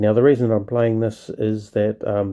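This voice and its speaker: A man speaks with a New Zealand accent at a fairly low pitch. His tone is dark and mellow. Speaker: gaming video creator. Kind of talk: gameplay commentary. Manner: casual, many filler words.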